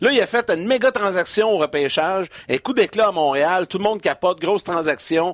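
In a Quebec accent, the speaker moves at a fairly quick pace with very wide pitch swings, the sound dry and close with no echo. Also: man. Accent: Québécois French. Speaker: hockey broadcaster. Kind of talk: sports talk show. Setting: studio.

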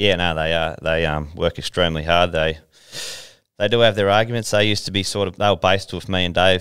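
With a rural Australian accent, a man talks at a very fast pace in a very deep, low pitch, keeping his intonation fairly even. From Riverina, New South Wales. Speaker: harness racing driver. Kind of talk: interview. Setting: studio.

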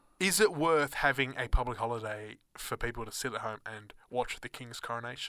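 A man with an Australian accent speaks fairly quickly at a medium pitch, with hardly any pauses and a bright, sharp tone. His loudness swings widely while his pitch variation stays ordinary. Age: 20s. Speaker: student radio co-host. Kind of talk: casual chat. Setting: studio.

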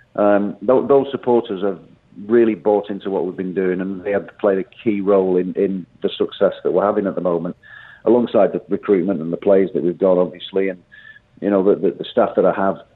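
The delivery holds fairly even intonation. It comes in an unremarkable speaking voice at a fairly quick pace. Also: man, fairly low pitch for a man. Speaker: football manager. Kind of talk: radio interview. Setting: phone call.

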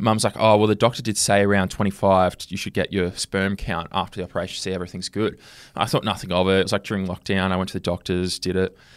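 A man speaks in a very deep, low voice with a flat, monotone delivery and an Australian accent, talking at a very fast pace. The recording is very clean and dry, with a silent background, close sound and no echo. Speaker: podcast host and pro wrestler. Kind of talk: casual chat. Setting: studio.

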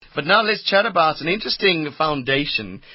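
Lively intonation from a man at a fairly high pitch and moderate pace, against noticeable background noise. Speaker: radio host. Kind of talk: radio interview. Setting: radio studio. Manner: animated, jokey.

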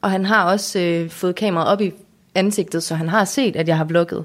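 A woman's medium-pitched voice at a fairly slow pace, ordinary pitch variation, in a very clean recording with a silent background. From Denmark, Aarhus area (Lystrup). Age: 20s. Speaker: YouTuber. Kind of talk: casual interview.

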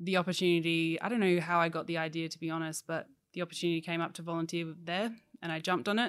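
A woman talks very fast with an Australian accent. Her pitch sits fairly low, and her intonation stays fairly even. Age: 20s. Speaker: puppy education supervisor. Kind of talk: interview. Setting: indoor hall at workplace.

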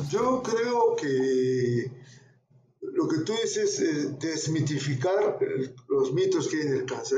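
A man speaks at a very slow pace, with audible room echo around his voice. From Peru, Arequipa. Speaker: oncologist. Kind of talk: interview.

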